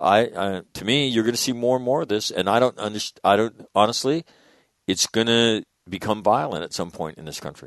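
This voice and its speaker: A man with a plain, everyday voice and fairly low pitch talks at a fairly quick pace, recorded dry and close with no echo against a quiet background. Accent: American. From US West (northern California, Sacramento). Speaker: radio host. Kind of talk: casual chat.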